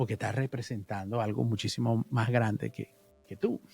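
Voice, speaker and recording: A man's voice with music in the background. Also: dry, close sound with no echo. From Venezuela. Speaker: musician. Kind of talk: interview.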